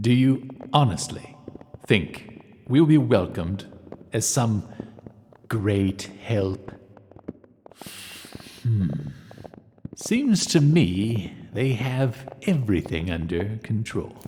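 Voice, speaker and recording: A man uses a put-on character voice at a medium pitch. He goes at a very slow pace with long, frequent pauses. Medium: audio drama. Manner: musing, wry.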